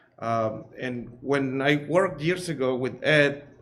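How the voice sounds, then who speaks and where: The speaker talks with an American accent, and audible room echo surrounds the voice. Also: man. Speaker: cleaning business owner. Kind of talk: public presentation at meeting. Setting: school board meeting. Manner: halting, many fillers and repeats.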